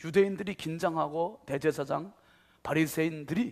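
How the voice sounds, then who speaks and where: A man with a fairly high voice speaks at a moderate pace with ordinary pitch variation, an ordinary speaking voice. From Korea, Chungcheong region. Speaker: pastor. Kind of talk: sermon. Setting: church.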